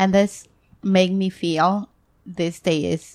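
A woman with an Ecuadorian accent speaks at a very slow pace, her medium pitch carrying fairly even intonation. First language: Spanish. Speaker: guest. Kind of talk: casual interview chat. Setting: recorded at home. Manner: halting, nervous in English.

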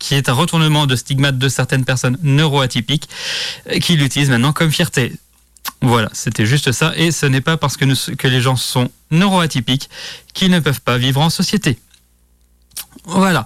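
This man has a fairly high pitch with ordinary pitch variation and very even loudness, and he talks at a moderate pace with long, frequent pauses. The sound is dry and close, with no echo. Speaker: radio host. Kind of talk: solo radio show on LGBTQIA+ vocabulary. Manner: hesitant, many fillers.

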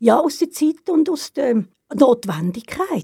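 A woman is speaking. Her tone is dark and mellow. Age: 70s. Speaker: retired cultural organizer. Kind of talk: casual interview.

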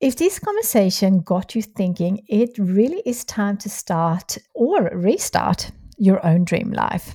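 A woman with a Swedish accent, somewhat breathy, with a dark, mellow tone, in a dry, close sound with no echo on a very clean recording with a silent background. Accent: foreign accent, Swedish. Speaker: podcast host, entrepreneur. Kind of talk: scripted outro; interview podcast.

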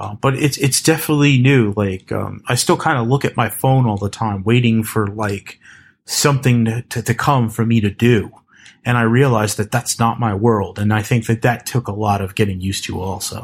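Somewhat breathy, the voice has an American accent, fairly even intonation and a moderate pace, on a very clean recording with a silent background. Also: man, medium pitch for a man. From US East Coast. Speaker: developer advocate. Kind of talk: casual chat.

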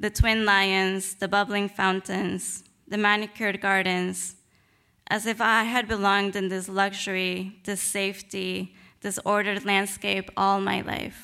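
On a very clean recording with a silent background, a woman in a Spanish accent speaks fairly slowly at a medium pitch, her tone bright and sharp and her intonation monotone and flat. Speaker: novelist. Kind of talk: reading aloud; lecture.

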